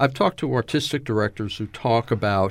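In a very clean recording with a silent background, a man uses an ordinary speaking voice, fairly low in pitch, at a moderate pace with ordinary pitch variation. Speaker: podcast host. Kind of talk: interview.

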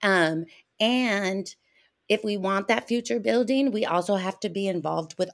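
In an American accent, an unremarkable speaking voice moves at a moderate pace with lively intonation on a very clean recording with a silent background. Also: woman. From Arizona. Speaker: theater artist. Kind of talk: casual chat.

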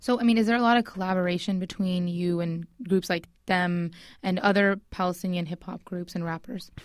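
A woman talks in a plain, everyday voice at a medium pitch, moving at a fairly quick pace with fairly even intonation. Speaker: radio show co-host. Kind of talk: casual interview. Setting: studio.

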